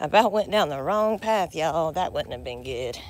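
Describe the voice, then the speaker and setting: Vocal fry runs through this woman's speech, delivered at a fairly quick pace. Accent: American. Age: 40s. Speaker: vlogger with chronic illness. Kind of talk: casual live vlog. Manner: halting, many fillers.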